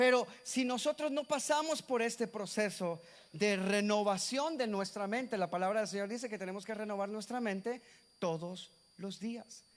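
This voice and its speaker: A man talks at a moderate pace. His voice is high in pitch with ordinary pitch variation. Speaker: pastor. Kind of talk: sermon.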